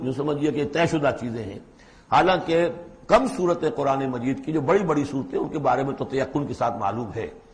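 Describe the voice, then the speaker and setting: A man uses an unremarkable speaking voice, fairly high in pitch, with lively intonation. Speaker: Islamic scholar giving a Quran lecture. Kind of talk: Quran exegesis lecture in Urdu. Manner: explanatory, lecturing.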